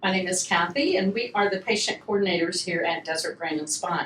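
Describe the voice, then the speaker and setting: Through noticeable background noise, a woman with a Southern US accent talks at a moderate pace and medium pitch, with ordinary pitch variation. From US South, Atlanta, Georgia. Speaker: patient coordinator. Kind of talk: casual podcast chat.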